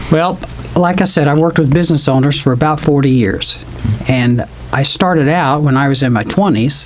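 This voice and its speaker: Against noticeable background noise, a man with an American accent talks at a fairly quick pace in a fairly high voice with ordinary pitch variation. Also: very even loudness. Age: 60s. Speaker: financial adviser. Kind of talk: interview. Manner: halting.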